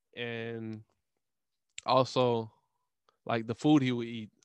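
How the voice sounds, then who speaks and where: A man speaks with an American accent at a moderate pace and medium pitch. The sound is dry and close, with no echo. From Louisiana. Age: 30s. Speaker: podcast host. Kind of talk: solo monologue. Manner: casual, halting with filler words.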